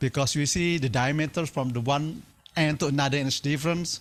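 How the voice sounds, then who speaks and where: In a very clean recording with a silent background, a man with an Indonesian accent talks at a fairly quick pace in a fairly high pitch with ordinary pitch variation. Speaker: timber engineering researcher. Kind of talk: lecture.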